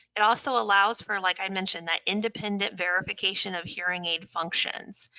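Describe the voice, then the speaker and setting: Her voice sits at a medium pitch, and the woman speaks with a Midwestern American accent. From US Midwest, Indiana. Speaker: audiologist. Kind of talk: webinar lecture. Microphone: connection cutting out.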